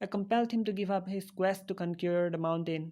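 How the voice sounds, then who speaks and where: A woman's dark, mellow tone with an Indian accent, deadpan and fairly even in intonation. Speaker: animated character narrator. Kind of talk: comedic scripted narration.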